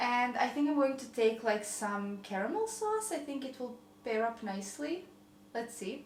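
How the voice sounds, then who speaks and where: Amid audible room echo and noticeable background noise, a woman with a slight Croatian accent speaks at a fairly slow pace with ordinary pitch variation. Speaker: lifestyle vlogger. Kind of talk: casual cooking vlog.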